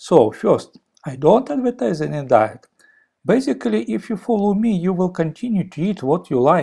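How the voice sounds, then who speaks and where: In a strong Russian accent, a man with a high pitch and a dark, mellow tone speaks at a fairly slow pace with very wide pitch swings. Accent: heavy Russian. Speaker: former physicist and software engineer. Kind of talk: video explainer. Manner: halting, with fillers.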